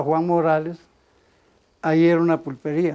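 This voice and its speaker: A man speaks at a high pitch with a dark, mellow tone. The pace is moderate. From Costa Rica, Zarcero. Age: 70s. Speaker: former footballer. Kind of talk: interview storytelling.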